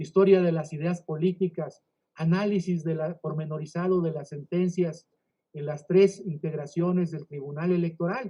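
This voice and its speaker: At a moderate pace, a man talks with a high pitch. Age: 60s. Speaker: legal scholar, book presenter. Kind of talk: book presentation speech. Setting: online virtual event.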